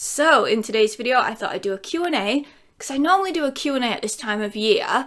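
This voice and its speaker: A woman's high-pitched voice at a very fast pace with lively intonation, over noticeable background noise. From England, Lincolnshire. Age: 30s. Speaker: YouTuber. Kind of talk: casual Q&A vlog.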